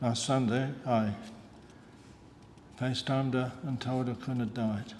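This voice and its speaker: Audible room echo carries a very slow, monotone voice with flat intonation and long, frequent pauses. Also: man. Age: 80s+. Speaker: retired lab technician, eulogist. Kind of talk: eulogy. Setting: funeral service. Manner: halting.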